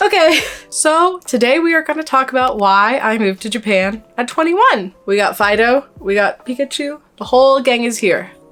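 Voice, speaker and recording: With music in the background, a woman speaks at a high pitch with lively intonation. Her pace is moderate, with hardly any pauses. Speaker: vlogger. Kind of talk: casual vlog talk.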